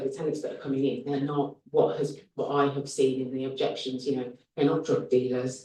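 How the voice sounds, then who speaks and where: A man with a Birmingham accent, fairly high in pitch, with a dark, mellow tone, monotone, flat intonation, a fairly quick pace and audible room echo. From Birmingham, England. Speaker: HMO landlord applicant. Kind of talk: planning committee Q&A. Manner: hesitant, many fillers.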